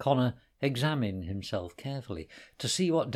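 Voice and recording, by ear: Reading aloud in a natural voice, the speaker keeps the intonation lively.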